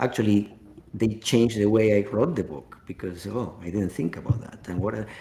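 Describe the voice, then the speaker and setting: A man speaks at a moderate pace in a fairly low pitch, his dark, mellow, somewhat breathy voice moving with ordinary pitch variation and big swings in loudness. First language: not English. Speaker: author and executive. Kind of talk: interview answers in a webinar. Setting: webinar.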